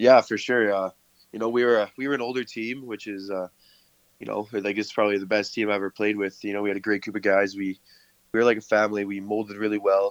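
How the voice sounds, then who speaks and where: A man's fairly low voice in a Canadian accent, monotone and flat, at a very fast pace. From Canada, Camrose, Alberta. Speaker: college baseball player. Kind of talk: interview.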